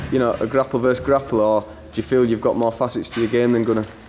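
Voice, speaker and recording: Over noticeable background noise, a man with a Yorkshire accent talks very fast at a medium pitch and with fairly even intonation. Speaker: sports interviewer. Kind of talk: interview questions.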